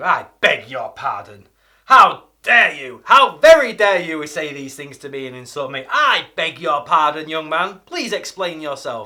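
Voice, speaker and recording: A man's put-on character voice, raised and projected, fairly high in pitch, at a moderate pace, with big swings in loudness. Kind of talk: formal, haughty. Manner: indignant, outraged.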